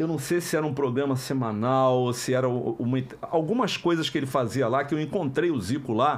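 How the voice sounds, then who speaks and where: Speaking at a moderate pace with hardly any pauses, a man keeps a medium pitch and ordinary pitch variation. His loudness stays very even. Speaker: voice actor. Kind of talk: interview answer. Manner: casual, anecdotal. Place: studio. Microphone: studio mic.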